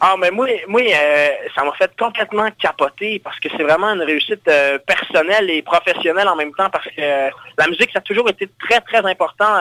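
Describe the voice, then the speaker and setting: A man's raised, projected voice, high in pitch with a bright, sharp tone, at a moderate pace, in a dry, close sound with no echo. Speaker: singer-songwriter. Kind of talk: interview. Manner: animated.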